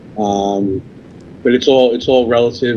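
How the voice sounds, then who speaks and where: In a New York accent, a man speaks at a moderate pace with monotone, flat intonation. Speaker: cigar company sales representative. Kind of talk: podcast interview.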